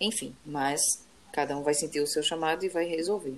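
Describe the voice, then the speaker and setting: A woman with a very deep, low pitch. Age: 30s. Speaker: podcast co-host. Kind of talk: casual chat.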